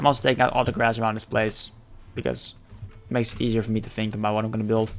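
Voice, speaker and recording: Speaking very fast in a monotone, flat delivery, a man with a Dutch accent keeps a medium pitch. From Netherlands. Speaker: gaming streamer. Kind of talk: casual gameplay commentary. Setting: live stream.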